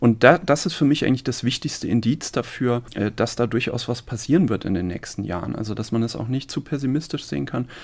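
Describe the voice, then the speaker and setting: A man talks fairly quickly in a normal speaking voice of medium pitch. His intonation is lively. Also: very clean recording, silent background. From Saarland, Germany (village near Neunkirchen). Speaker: sociology professor. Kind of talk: interview. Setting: studio.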